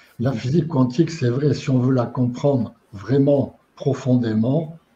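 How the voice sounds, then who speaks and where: A man speaks at medium pitch with a dark, mellow tone that is somewhat breathy. His intonation is fairly even and his pace fairly slow. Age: 80s+. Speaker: retired engineer and lecturer on quantum physics and spirituality. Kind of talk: interview. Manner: halting.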